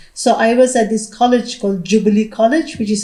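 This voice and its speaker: A woman with a Nagaland accent speaks at a fairly quick pace. Her voice is fairly high, somewhat breathy and dark and mellow in tone. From Nagaland, India. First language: Lotha. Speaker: educator, panelist. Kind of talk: panel discussion. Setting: hall with audience. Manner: halting, many fillers and repeats.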